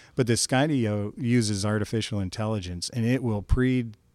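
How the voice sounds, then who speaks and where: An ordinary speaking voice from a man, fairly low in pitch, at a moderate pace with fairly even intonation, on a very clean recording with a silent background. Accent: American. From northeast Kansas, US Midwest. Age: 50s. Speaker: drone business owner. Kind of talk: casual chat.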